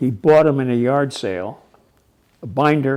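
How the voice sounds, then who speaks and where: Dark, mellow tone from a man at a medium pitch. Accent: American. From California. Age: 80s+. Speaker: retired police chief. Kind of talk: interview. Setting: coin shop.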